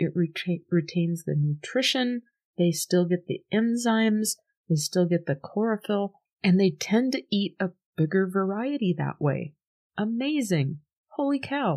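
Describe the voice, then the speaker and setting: An ordinary speaking voice from a woman, medium in pitch, at a fairly slow pace with lively intonation, in a dry, close sound with no echo and a very clean recording over a silent background. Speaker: podcast host. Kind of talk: soothing podcast talk to camera. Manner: warm, chatty, gentle.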